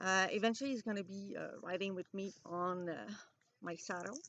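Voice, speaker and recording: With a French Canadian accent, a woman talks in a medium-pitched voice with lively intonation. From Quebec. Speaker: vlogger. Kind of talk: casual vlog monologue. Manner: halting, many fillers.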